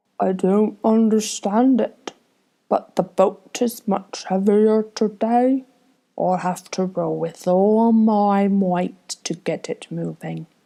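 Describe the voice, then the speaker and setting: This put-on character voice moves at a very slow pace with fairly even intonation. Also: woman, medium pitch for a woman. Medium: read story.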